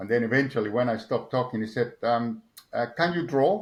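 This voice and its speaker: A man speaks with an Argentine accent and lively intonation. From Argentina. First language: Spanish. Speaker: motorsport engineer. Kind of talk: interview. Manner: halting, many repetitions and fillers.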